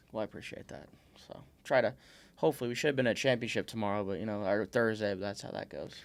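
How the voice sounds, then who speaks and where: Here a man speaks at a very fast pace. His pitch is fairly low. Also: ordinary pitch variation, big swings in loudness. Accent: Midwestern American. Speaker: podcast host. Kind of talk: casual podcast conversation.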